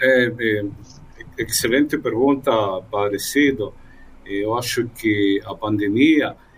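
A man's somewhat breathy, medium-pitched voice with a Spanish accent and ordinary pitch variation, at a very slow pace with long, frequent pauses. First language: Spanish (speaking Portuguese). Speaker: journalist and migrant ministry worker. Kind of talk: radio panel interview.

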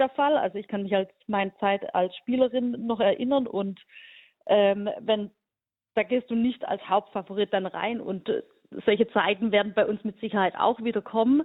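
An unremarkable speaking voice: a woman at a fairly high pitch, moving at a moderate pace with ordinary pitch variation. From Hohenlohe region, Baden-Württemberg, Germany. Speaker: national team coach and teacher. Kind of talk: radio interview.

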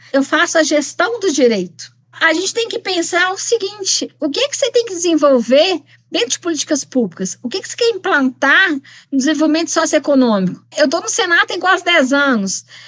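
A woman talks at a fairly quick pace, her extremely high voice making very wide pitch swings. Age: 50s. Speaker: lawyer and rural training instructor. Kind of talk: podcast interview.

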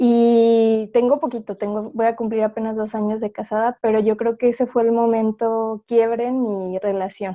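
Her tone is dark and mellow, with monotone, flat intonation. The woman speaks at a moderate pace with hardly any pauses. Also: fairly high pitch for a woman, quiet background. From Mexico City. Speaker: panel guest. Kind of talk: casual panel chat.

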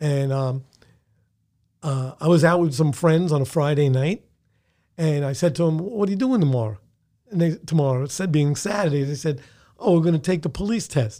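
A man with a New York accent speaks at a moderate pace, pitched fairly high, with a dark, mellow tone. His pitch varies in an ordinary way, and he takes long, frequent pauses. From New York (Bronx). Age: 70s. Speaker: retired police detective. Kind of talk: casual interview.

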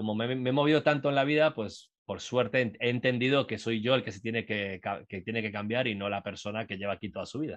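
A man with a medium-pitched voice talks at a very fast pace with hardly any pauses over a quiet background. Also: ordinary pitch variation. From Uruguay, raised in Latin America. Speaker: entrepreneur and startup mentor. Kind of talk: casual interview.

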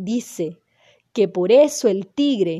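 An unforced reading voice with lively intonation over a quiet background

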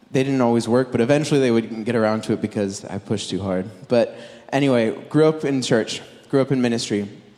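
Very fast speech from a man, medium-pitched with ordinary variation and a dark, mellow tone. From Southern California. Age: 20s. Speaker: preacher. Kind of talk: sermon.

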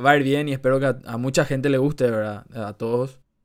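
A man speaks in a normal speaking voice at a medium pitch, with fairly even intonation. The recording is very clean, with a silent background. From Paraguay. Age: 20s. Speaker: economics student, podcast co-host. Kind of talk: casual chat.

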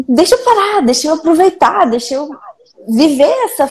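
A woman's voice carries lively intonation. She speaks at a moderate pace. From Minas Gerais, Belo Horizonte. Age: 20s. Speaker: video editor. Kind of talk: casual chat.

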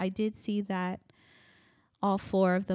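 A woman speaks at a medium pitch and a very slow pace. The recording is very clean, with a silent background. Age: 30s. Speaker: podcast host. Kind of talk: solo podcast monologue. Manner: animated.

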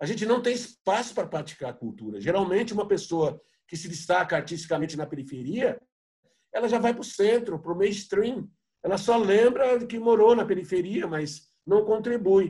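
With lively intonation and a dark, mellow tone, a man speaks at a moderate pace in a high pitch. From São Paulo, south periphery. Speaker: poet. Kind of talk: panel discussion. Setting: video call.

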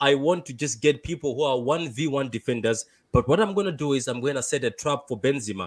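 A man with a Malawian accent, fairly high in pitch, with ordinary pitch variation and a fairly quick pace. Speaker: caller.

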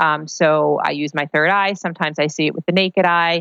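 A woman speaks at a moderate pace. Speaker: psychic medium and author. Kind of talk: reading and interview. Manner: animated, warm.

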